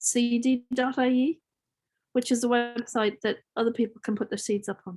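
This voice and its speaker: Speaking in an Irish accent at a moderate pace, a woman uses a high pitch and fairly even intonation, recorded in a dry, close sound with no echo. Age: 60s. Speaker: farmer. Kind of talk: Q&A session.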